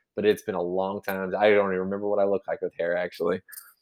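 A man's fairly low voice with a Midwestern American accent, over a quiet background. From Kansas, US Midwest. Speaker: realtor. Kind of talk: casual interview chat.

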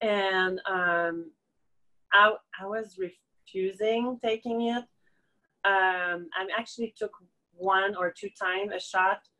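At a very slow pace, a woman with a Quebec accent speaks at medium pitch in a bright, sharp tone with ordinary pitch variation. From Quebec, Montreal. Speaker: acupuncturist. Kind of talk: interview, personal testimony. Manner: halting, many fillers.

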